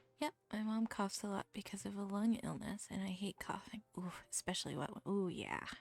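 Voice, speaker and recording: A woman with a strong Midwestern accent speaks at a medium pitch in a relaxed, somewhat breathy tone with ordinary pitch variation and hardly any pauses. The sound is dry and close, with no echo. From US Midwest, Ohio. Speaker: streamer, artist. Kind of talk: casual livestream chat. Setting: home streaming setup with background music. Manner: relaxed, chatty.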